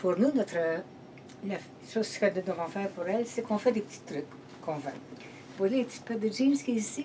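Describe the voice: A woman speaks at a moderate pace, her medium-pitched voice dark and mellow with lively intonation.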